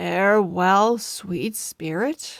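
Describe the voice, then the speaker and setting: Speaking at a medium pitch with ordinary pitch variation, a woman uses a raspy put-on character voice. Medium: read story. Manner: dignified, measured.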